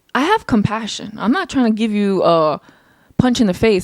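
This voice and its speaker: With a fairly high pitch and ordinary pitch variation, a woman speaks at a moderate pace in a dry, close sound with no echo. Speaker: podcast host. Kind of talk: casual monologue. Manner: loud, rowdy tone.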